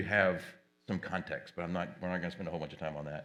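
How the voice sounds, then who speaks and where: The speech moves at a very fast pace. Audible room echo surrounds it. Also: man. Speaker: tech company presenter moderating a panel. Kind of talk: conference presentation.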